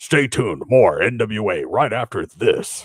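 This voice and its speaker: Speaking at a moderate speed, a man adopts a put-on character voice. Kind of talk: promo announcer.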